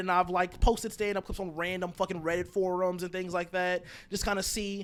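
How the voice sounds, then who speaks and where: A man's high-pitched, flat monotone at a fairly quick pace, on a very clean recording with a silent background. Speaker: stand-up comedian. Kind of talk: casual chat. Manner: fast.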